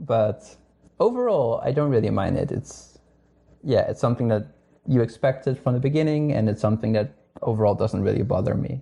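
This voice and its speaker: With a Dutch accent, a man talks at a fairly quick pace in a somewhat breathy, dark, mellow tone of medium pitch and ordinary pitch variation. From northern Netherlands. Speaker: astronomer. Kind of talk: casual interview chat.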